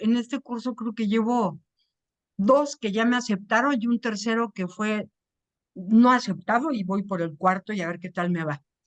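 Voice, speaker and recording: Over a quiet background, a woman with an ordinary speaking voice and fairly high pitch talks at a fairly slow pace, with a dry, close sound with no echo. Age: 60s. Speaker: writing workshop student. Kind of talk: question in online workshop.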